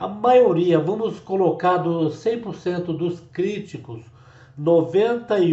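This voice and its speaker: With ordinary pitch variation, a man talks at a very slow pace and a high pitch. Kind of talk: religious commentary to camera.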